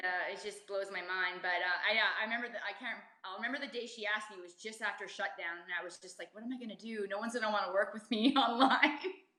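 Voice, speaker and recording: Over noticeable background noise, a woman talks at a very fast pace with hardly any pauses, her medium pitch showing ordinary variation while her loudness swings widely. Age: 40s. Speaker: personal trainer. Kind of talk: interview.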